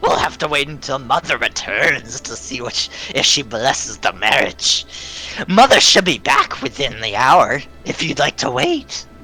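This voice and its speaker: Clear music plays behind a man doing a put-on character voice. He keeps a moderate pace. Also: fairly high pitch for a man. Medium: actual play.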